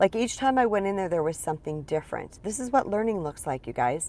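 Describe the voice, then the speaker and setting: A woman speaks very fast at a medium pitch, her voice swinging very widely up and down. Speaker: spiritual empowerment coach. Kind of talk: live stream talk. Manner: animated.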